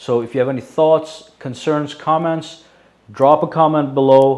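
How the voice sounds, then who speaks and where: A man's fairly high voice, fairly slow and fairly even in intonation. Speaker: tech youtuber. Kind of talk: product review monologue. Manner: hesitant, many fillers.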